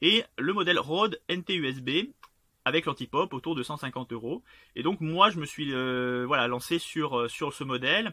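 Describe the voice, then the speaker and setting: A man speaks at a fairly high pitch and a moderate pace. His intonation is lively. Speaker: self-published author and YouTuber. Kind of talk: casual vlog. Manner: hesitant, many fillers and repetitions.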